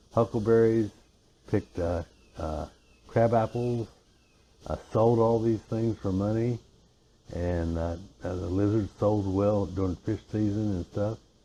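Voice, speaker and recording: In an Appalachian accent, a man speaks at a fairly low pitch with a dark, mellow tone, fairly even intonation, a fairly slow pace and long, frequent pauses. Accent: Appalachian Virginia. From US, western Virginia (Alleghany County). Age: 70s. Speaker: interview guest. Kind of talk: casual interview. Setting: porch.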